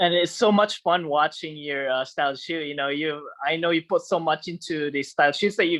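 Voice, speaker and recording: A fairly high-pitched man with a non-native accent, a moderate pace, hardly any pauses and a dry, close sound with no echo. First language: not English. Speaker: podcast host. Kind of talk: casual interview chat. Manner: halting, many fillers.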